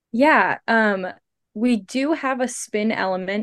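In an American accent, a woman speaks at a fairly slow pace with ordinary pitch variation against a quiet background. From US Midwest, St. Louis, Missouri. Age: 20s. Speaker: synchronized skater and student. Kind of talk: casual interview.

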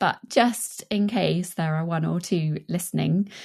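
Speaking at a fairly slow pace, a woman uses a normal speaking voice at medium pitch against a quiet background. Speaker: podcast co-host. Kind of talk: podcast interview.

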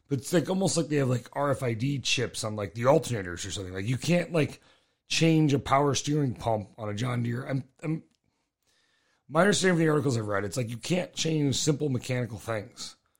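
A man's medium-pitched, somewhat breathy voice at a fairly quick pace with lively intonation, on a very clean recording with a silent background. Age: 40s. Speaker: podcast host, car enthusiast. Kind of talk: casual chat.

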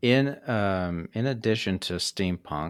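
This is a man speaking. His pitch sits fairly low. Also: very clean recording, silent background. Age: 40s. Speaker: podcast host. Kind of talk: interview.

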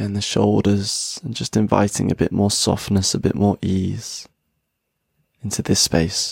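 A man speaks at a fairly slow pace with ordinary pitch variation. His is an ordinary speaking voice. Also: fairly low pitch for a man. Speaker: podcast host and meditation guide. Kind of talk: guided meditation, slow breath-paced relaxation instructions. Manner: slow, soothing and unhurried, pausing with each breath; gentle, warm and softly encouraging, audibly sighing out.

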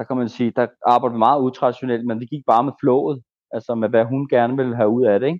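Speaking at a very fast pace, a man keeps his medium-pitched voice in fairly even intonation. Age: 30s. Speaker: ayahuasca shaman. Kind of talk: interview.

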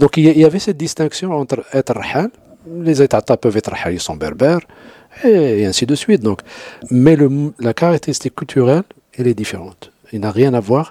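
Taking long, frequent pauses, a man speaks at a moderate pace and medium pitch with very wide pitch swings, in a dry, close sound with no echo. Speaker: anthropologist, university professor. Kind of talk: interview, expert explanation.

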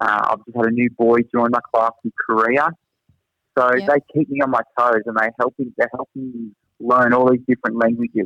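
A man of medium pitch with a strong Australian accent, a bright, sharp tone and fairly even intonation, at a moderate pace, in a dry, close sound with no echo. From Australia, Newcastle area. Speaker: teacher at international school. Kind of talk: casual interview. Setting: video call from Singapore.

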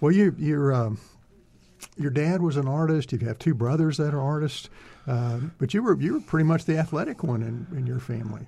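A man with an American accent speaks at a fairly high pitch, his voice somewhat breathy. His tone is dark and mellow, with ordinary pitch variation. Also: fairly quick pace. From Texas (Greenville). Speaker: radio host. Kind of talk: interview; radio announcement. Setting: studio.

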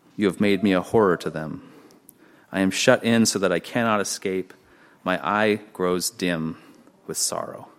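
A man's ordinary speaking voice with ordinary pitch variation on a very clean recording with a silent background. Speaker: pastor. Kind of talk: sermon; fervent prayer. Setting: church. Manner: earnest, solemn; slow, reverent.

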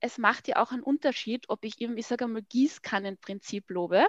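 A woman's voice with a dry, close sound, no echo and a quiet background. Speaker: family communication expert. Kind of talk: casual interview.

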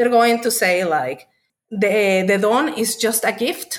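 A woman with a fairly high voice speaks with a Spanish accent. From Mexico. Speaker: author and witchcraft practitioner. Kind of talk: casual interview chat.

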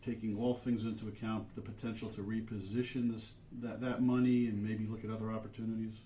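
Noticeable background noise sits behind a man who speaks very fast at a medium pitch in a monotone, flat delivery. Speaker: financial advisor. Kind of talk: radio panel discussion.

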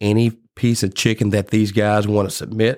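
Recorded very cleanly against a silent background, a man with a Mississippi accent talks in a fairly low pitch with fairly even intonation. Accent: Mississippi Southern US. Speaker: barbecue competition organizer. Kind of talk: casual interview chat. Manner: passionate.

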